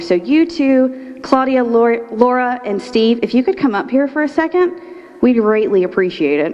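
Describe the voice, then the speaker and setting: A woman speaks at a fairly quick pace and a fairly high pitch, with very wide pitch swings. Noticeable background noise runs behind her. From Florida, Polk County. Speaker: nonprofit executive director, leadership program graduate. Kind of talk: graduation speech. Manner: fast.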